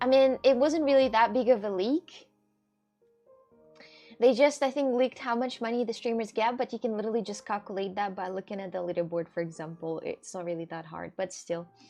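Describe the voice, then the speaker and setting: A fairly high-pitched woman at a fairly quick pace, with lively intonation and big swings in loudness, over music in the background. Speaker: streamer. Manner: fast talker.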